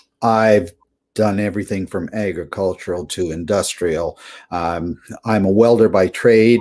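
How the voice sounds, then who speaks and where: A man's unremarkable speaking voice, fairly low and fairly slow, with fairly even intonation, on a very clean recording with a silent background. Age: 60s. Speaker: welder turned online entrepreneur. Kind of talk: interview.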